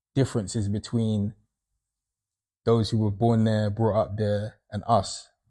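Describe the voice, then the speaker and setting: A man's fairly low, dark, mellow voice with a London accent, monotone and flat, with long, frequent pauses, in a very clean recording with a silent background. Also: fairly slow pace. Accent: London accent (Multicultural London English). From London, England. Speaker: panel discussion guest. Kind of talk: casual panel discussion.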